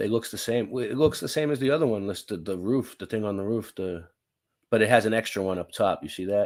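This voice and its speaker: Speaking with a Boston accent at a very fast pace, the voice shows ordinary pitch variation on a very clean recording with a silent background. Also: man, fairly low pitch for a man. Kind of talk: casual chat.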